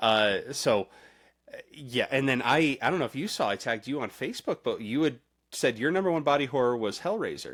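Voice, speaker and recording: This man has an ordinary speaking voice at medium pitch, moving at a fairly quick pace. The recording is very clean, with a silent background. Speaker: podcast host. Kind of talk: casual chat.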